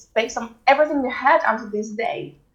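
A woman with a Swedish accent at a moderate pace, with ordinary pitch variation. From Sweden. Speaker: mindset coach. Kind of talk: interview.

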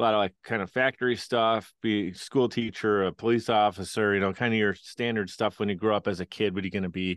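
A man with a Western New York accent talks at a very fast pace with hardly any pauses. His pitch is fairly low. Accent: Western New York American. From Buffalo, New York, US. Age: 30s. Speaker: podcast producer and entrepreneur. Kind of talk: interview conversation. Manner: animated.

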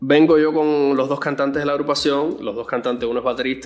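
At a very fast pace, a man speaks in a fairly high pitch. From Cuba. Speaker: music producer and bassist. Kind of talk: interview. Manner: halting, many repetitions.

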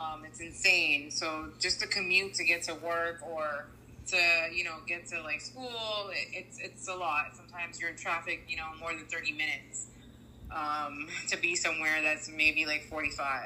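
Against noticeable background noise, a woman with an American accent speaks at a moderate pace and a fairly low pitch. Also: fairly even intonation. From South Florida. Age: 30s. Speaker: real estate agent. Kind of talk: interview.

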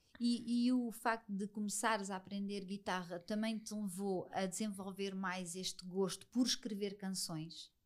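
A woman with a plain, everyday voice speaks at medium pitch with fairly even intonation and hardly any pauses. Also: fairly slow pace. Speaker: podcast host. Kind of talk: interview.

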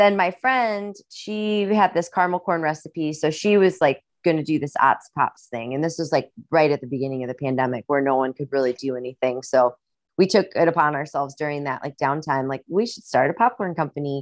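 Fairly quick and full of lively intonation, a woman with a Midwestern US accent speaks at a very deep, low pitch. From US Midwest. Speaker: singer-songwriter and actress. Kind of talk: casual interview chat. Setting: video call. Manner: laid-back, chatty.

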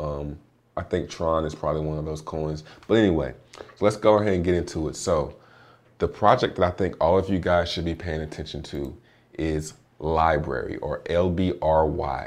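A man's pitch sits very deep and low. He speaks at a moderate pace with fairly even intonation. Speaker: crypto podcaster. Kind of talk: solo podcast with chart analysis. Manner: casual, joking, filler-heavy.

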